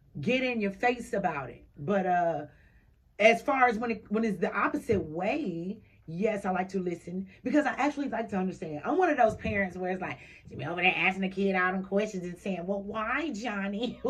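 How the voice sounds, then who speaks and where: A woman speaks at a medium pitch and a fairly quick pace, somewhat breathy, with an animated tone and lively intonation. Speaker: radio talk show host. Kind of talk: casual radio chat. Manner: fast.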